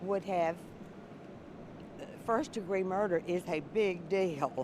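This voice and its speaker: Her pitch is medium and her pitch variation is ordinary. The woman speaks at a very slow pace. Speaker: juror. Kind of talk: news interview. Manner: loud; halting.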